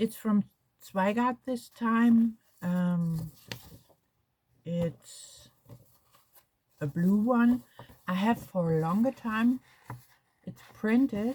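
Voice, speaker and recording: Speaking very slowly with long, frequent pauses, a woman has a German accent. Her pitch is fairly high, with ordinary pitch variation. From Germany. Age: 60s. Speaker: crafts vlogger. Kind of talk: casual chat. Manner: halting.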